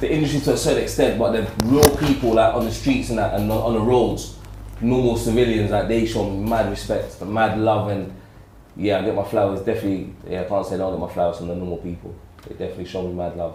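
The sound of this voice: Speaking fast in a dark, mellow tone, a man with a fairly low pitch and fairly even intonation is heard with audible room echo.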